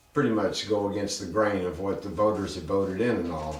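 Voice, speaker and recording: A man at a moderate pace with fairly even intonation, amid noticeable background noise and audible room echo. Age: 60s. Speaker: podcast host. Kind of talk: opinion commentary.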